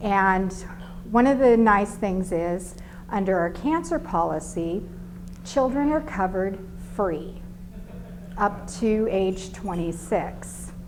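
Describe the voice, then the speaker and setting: With audible room echo, a woman speaks at a very slow pace in a medium pitch, using ordinary pitch variation. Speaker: insurance sales rep. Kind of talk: business presentation.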